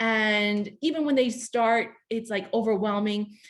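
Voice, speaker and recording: This is a woman speaking. Her voice is fairly high. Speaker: webinar presenter, lymphedema nonprofit director. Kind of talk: educational webinar talk. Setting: online webinar. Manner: halting, stumbling over words; casual, filler-heavy.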